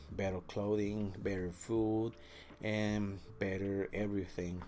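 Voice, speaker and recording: Speaking with a Spanish accent, the voice moves at a very slow pace with fairly even intonation. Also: man. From Mexico. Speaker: vlogger. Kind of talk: personal storytelling. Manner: halting, many fillers.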